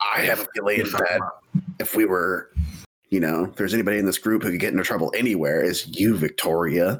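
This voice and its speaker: A man puts on a raspy character voice, very deep and low, rattling along at a very fast pace. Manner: casual, confident.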